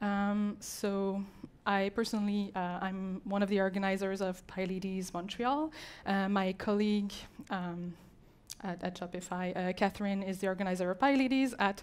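A woman at a moderate pace, with fairly even intonation. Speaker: conference speaker. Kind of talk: talk presentation. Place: hall. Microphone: handheld.

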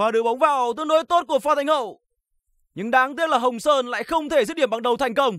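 An animated tone comes at a very fast pace in a very clean recording with a silent background. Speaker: football commentator. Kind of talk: live football commentary. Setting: stadium broadcast. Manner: animated, fast, punchy bursts on chances; formal, polite broadcaster address.

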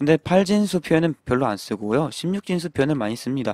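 A man speaking very slowly with lively intonation, in a very clean, dry and close recording with no echo and a silent background. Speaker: programming instructor. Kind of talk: tutorial. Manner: repetitive, self-correcting.

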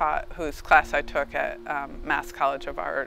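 A woman speaks at a fairly slow pace. Faint music plays in the background, and the sound is dry with no echo. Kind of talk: interview answer. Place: garden. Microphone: lapel.

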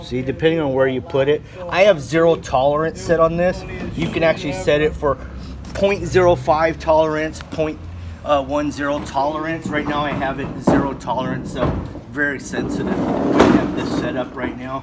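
A man's speech, delivered at a moderate pace with ordinary pitch variation, is heard against noticeable background noise. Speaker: concrete contractor. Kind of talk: tutorial. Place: garden. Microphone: phone near.

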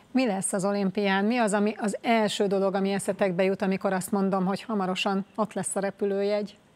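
Monotone, flat intonation at a fairly quick pace, with very even loudness and hardly any pauses. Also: woman. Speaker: sports interviewer. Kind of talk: interview. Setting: studio. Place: studio. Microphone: lapel.

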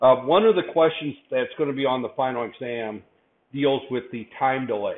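A man talks with ordinary variation in pitch, keeping a moderate pace. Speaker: university lecturer. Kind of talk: lecture. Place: classroom.

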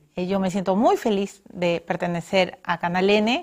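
The background is quiet as a woman speaks at a moderate pace. Her pitch varies in an ordinary way. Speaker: TV show host. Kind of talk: closing remarks to camera. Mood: warm, celebratory. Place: studio.

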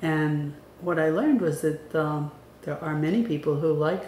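Very deep and low-pitched, a woman's voice comes at a fairly slow pace. Audible room echo and light background noise surround it. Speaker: book reviewer. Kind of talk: book review talk to camera. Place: home room. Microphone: webcam.

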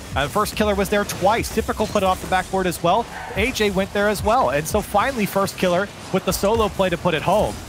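Over music in the background, a man with a high pitch talks at a fairly quick pace in an animated tone, with ordinary pitch variation and very even loudness. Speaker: esports commentator. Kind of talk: live esports commentary. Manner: animated, fast-paced play-by-play.

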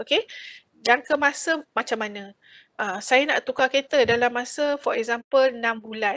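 Against a quiet background, a woman speaks at a high pitch and a moderate pace. Her pitch varies in an ordinary way. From Malaysia. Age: 50s. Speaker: financial planner and credit talk speaker; speaker. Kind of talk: webinar talk. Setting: video call. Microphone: video call.

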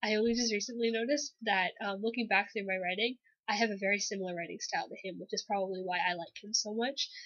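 Speaking at a very fast pace, a woman uses a fairly high pitch with ordinary pitch variation. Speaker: aspiring writer. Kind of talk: casual talk to camera.

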